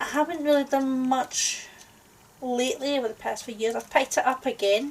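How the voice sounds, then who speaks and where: Over noticeable background noise, a woman with a Scottish accent speaks at a fairly quick pace in a high pitch, her intonation fairly even. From Scotland. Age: 40s. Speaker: crafting YouTuber. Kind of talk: casual chat. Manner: hesitant, with fillers.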